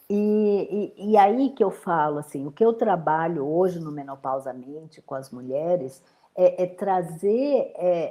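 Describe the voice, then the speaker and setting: A woman speaks at a fairly slow pace with hardly any pauses, her pitch fairly low. Her loudness swings widely. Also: lively intonation. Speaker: menopause therapist. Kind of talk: interview.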